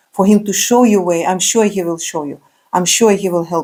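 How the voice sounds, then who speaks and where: Very fast and fairly even in intonation, a woman with a non-native accent speaks at a medium pitch in a very clean recording with a silent background. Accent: non-native English, remarked by speaker. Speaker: spiritual speaker. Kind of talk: religious motivational talk. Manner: halting, many fillers.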